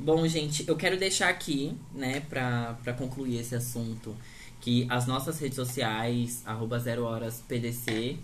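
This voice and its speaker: Somewhat breathy speech at a fairly slow pace, fairly even in intonation, with audible room echo. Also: man. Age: 20s. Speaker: podcast host. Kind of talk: casual chat.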